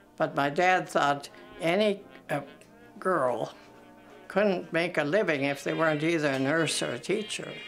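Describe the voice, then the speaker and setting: Over music in the background, a woman with a very deep, low pitch speaks slowly-ish, at a fairly slow pace with lively intonation. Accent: American. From Minnesota, USA. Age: 80s+. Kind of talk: interview answer.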